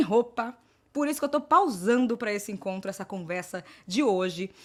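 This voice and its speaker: A woman's medium-pitched voice with lively intonation and an animated tone, at a moderate pace, on a very clean recording with a silent background. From Brazil, Salvador, Bahia. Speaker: panel moderator. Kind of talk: moderated panel talk.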